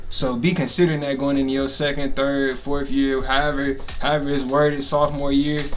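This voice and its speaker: Speech in an American accent runs with hardly any pauses and monotone, flat intonation. Audible room echo and noticeable background noise surround it. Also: man, fairly high pitch for a man, fairly quick pace. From Chicago area, Illinois. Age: 20s. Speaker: podcast host, recent college student. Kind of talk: casual chat.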